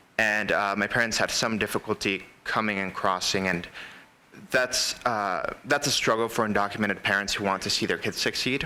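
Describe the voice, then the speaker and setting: A man with an American accent speaks at a moderate pace in a fairly low pitch. It is an ordinary speaking voice with fairly even intonation. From El Paso, Texas. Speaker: college student panelist. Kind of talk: panel testimony.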